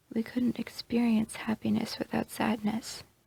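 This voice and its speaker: Whispering at a fairly slow pace, a soft-spoken woman is heard in a dry, close sound with no echo. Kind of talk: ASMR roleplay. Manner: soft-spoken, whispered.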